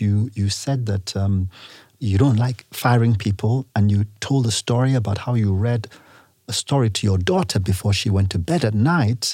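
A man's somewhat breathy voice carries a dark, mellow tone with ordinary pitch variation. The recording is very clean, with a silent background. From Nigeria. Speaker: businessman. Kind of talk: interview.

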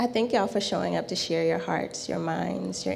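With audible room echo around her, a woman talks at a moderate pace. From rural South Carolina. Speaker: spiritual teacher and tarot reader. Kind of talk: class talk. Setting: live class in a shop.

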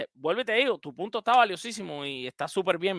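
A man speaks at a fairly quick pace in a raised, projected voice, his pitch swinging very widely. The sound is dry and close, with no echo. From Cuba. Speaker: sports podcast host. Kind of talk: casual chat with call-in listeners.

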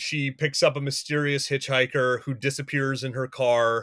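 A man with an American accent and a normal speaking voice talks at a fairly high pitch and a fairly slow pace, on a very clean recording with a silent background and a dry, close sound with no echo. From US West (rural Montana). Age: 40s. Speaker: film director. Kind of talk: casual chat.

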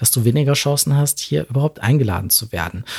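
On a very clean recording with a silent background, a man's somewhat breathy voice carries lively intonation in a dry, close sound with no echo. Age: 40s. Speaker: LGBTIQ+ advocate and company founder. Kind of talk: interview.

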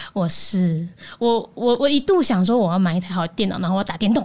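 A woman talks at a fairly quick pace with ordinary pitch variation. Her voice is somewhat breathy. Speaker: news podcaster. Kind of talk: casual chat.

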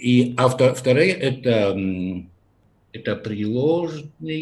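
A man with a Polish accent speaks at a very slow pace. His intonation is lively and his voice somewhat breathy. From Poland, Lesser Poland region. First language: Polish (speaking Russian). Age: 40s. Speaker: podcast guest, Russian learner from Poland. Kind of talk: casual interview. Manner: halting, many repetitions and fillers.

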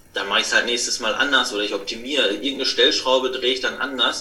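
A man is heard in the clip. Noticeable background noise and audible room echo surround his voice. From Ruhr area, Germany (near Dortmund). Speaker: online marketing consultant. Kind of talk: interview. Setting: remote recording.

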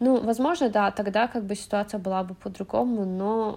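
Her tone dark and mellow, a woman talks at a moderate pace with fairly even intonation. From Azerbaijan, Baku. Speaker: immigrant guest. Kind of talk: casual chat.

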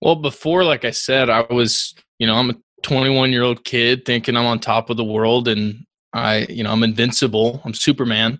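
Very cleanly recorded over a silent background, a man speaks in a plain, everyday voice at a medium pitch, with fairly even intonation and a moderate pace. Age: 20s. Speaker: real estate investor and broker. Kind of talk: interview conversation.

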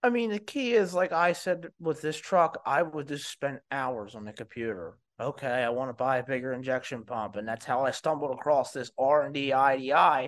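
With a plain, everyday voice, a man speaks at a moderate pace over a quiet background, fairly high in pitch, with lively intonation and hardly any pauses. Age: 30s. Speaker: diesel repair business owner. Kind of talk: casual interview.

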